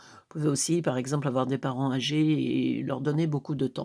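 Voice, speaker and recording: A woman's voice with a dark, mellow tone. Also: very clean recording, silent background. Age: 60s. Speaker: tarot reader. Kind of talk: live tarot reading. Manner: hesitant, many fillers.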